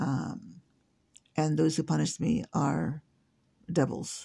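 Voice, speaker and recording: A woman talks at a very slow pace with an American accent. The background is quiet. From came to the US in 1970. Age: 60s. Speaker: podcaster. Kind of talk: solo monologue. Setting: home. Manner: halting, many fillers.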